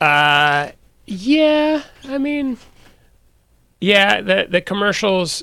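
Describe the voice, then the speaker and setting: A man speaks with an American accent and a bright, sharp tone. The recording is very clean, with a silent background. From Northern California (Sonoma). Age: 40s. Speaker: actor. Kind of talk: casual interview chat.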